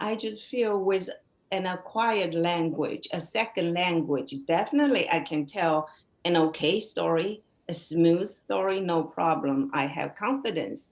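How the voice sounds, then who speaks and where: A woman with a Chinese accent has a fairly low pitch and lively intonation. She speaks at a fairly slow pace. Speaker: novelist. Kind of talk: interview conversation.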